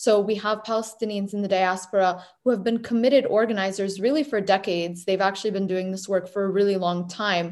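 In an American accent, a woman with an unremarkable speaking voice and a medium pitch talks at a fairly quick pace with fairly even intonation and hardly any pauses. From New Hampshire, US. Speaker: graduate research fellow. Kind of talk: interview.

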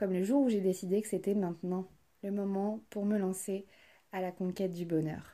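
Dark, mellow tone from a woman at medium pitch, moderate pace and fairly even intonation, on a very clean recording with a silent background. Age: 20s. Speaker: podcast host, trainee psychotherapist. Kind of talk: scripted monologue.

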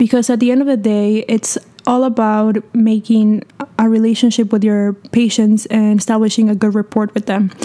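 A woman speaks with a Spanish accent at a fairly high pitch, her intonation monotone and flat. Her loudness stays very even against noticeable background noise. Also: moderate pace. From Peru. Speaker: medical student. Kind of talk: educational casual chat.

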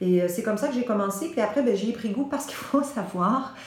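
This woman talks in a Quebec accent with lively intonation. Audible room echo and noticeable background noise surround her voice. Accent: Québécois French. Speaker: voice teacher. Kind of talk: interview.

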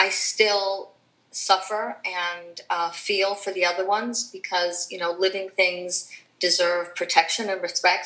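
With an ordinary speaking voice, a woman talks at a medium pitch using fairly even intonation. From Chicago, raised; born in Cuba. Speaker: philanthropist and animal rights activist. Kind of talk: interview.

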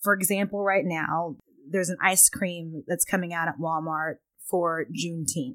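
A woman with an American accent speaks at a moderate pace in an unremarkable speaking voice. Her pitch is fairly low, with ordinary pitch variation. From Texas, Pflugerville near Austin. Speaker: company chief of staff. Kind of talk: casual interview.

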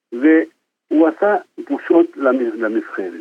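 A man talks with an Argentine accent. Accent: Argentine Spanish accent in Hebrew. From Argentina. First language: Spanish (speaking Hebrew). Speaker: football fan. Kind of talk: casual chat. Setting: phone call. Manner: halting.

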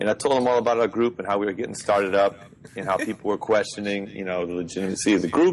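Very fast talk comes from a man with an American accent. His fairly low pitch moves with ordinary variation. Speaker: music teacher and jazz bassist. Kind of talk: casual chat. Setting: video call.

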